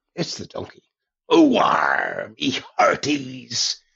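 The voice is a raspy, put-on character voice. It moves at a very slow pace. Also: man.

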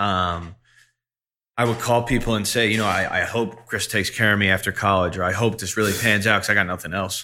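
A man with an American accent, fairly low in pitch, with a bright, sharp tone, fairly even intonation and a fairly quick pace, on a very clean recording with a silent background. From Long Island, New York. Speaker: music management executive. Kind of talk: interview.

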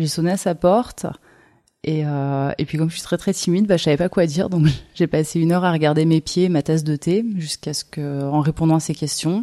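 This woman talks at a fairly quick pace with a very deep, low pitch and fairly even intonation. Her tone is dark and mellow, and the sound is dry and close with no echo. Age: 30s. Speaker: rope bondage teacher and artist. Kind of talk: interview. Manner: halting.

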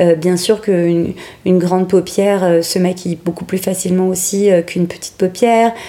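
A woman talks at a medium pitch and moderate pace with monotone, flat intonation. There is noticeable background noise. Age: 40s. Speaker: makeup artist. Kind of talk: interview testimony. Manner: hesitant, many fillers.

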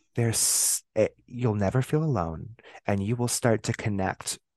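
A man speaks at a moderate pace with an American accent. The sound is dry and close with no echo, over a quiet background. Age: 30s. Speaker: witch and author. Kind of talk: casual interview chat. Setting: video call. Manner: hesitant with repeated fillers and restarts.

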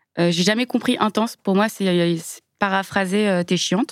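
A woman at a moderate pace, medium in pitch, with ordinary pitch variation. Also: dry, close sound with no echo. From Lyon suburbs, France. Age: 30s. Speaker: biomedical engineer. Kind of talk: testimony. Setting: studio.

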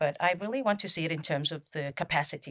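This woman has a very deep, low pitch, and the sound is dry and close with no echo. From Kiribati. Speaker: former diplomat, PhD candidate. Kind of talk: panel discussion.

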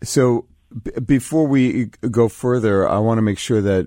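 Over a very clean recording with a silent background, a man speaks at a fairly slow pace in an unremarkable speaking voice with ordinary pitch variation. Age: 60s. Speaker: radio show host and professor. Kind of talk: radio interview. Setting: radio show.

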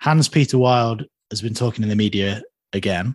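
Over a quiet background, a man talks in a plain, everyday voice at a fairly quick pace with ordinary pitch variation, and the sound is dry and close with no echo. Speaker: podcast host. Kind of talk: casual chat.

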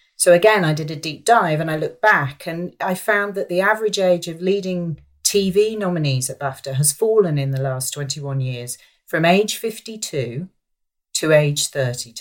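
A woman's fairly low-pitched, lively intonation at a moderate pace, in an ordinary speaking voice. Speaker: actress and campaigner. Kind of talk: casual chat.

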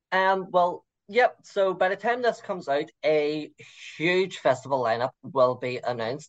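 In a Liverpool accent, a man with a high pitch talks at a fairly slow pace with lively intonation. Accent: Scouse. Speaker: local city guide guest. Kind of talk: interview.

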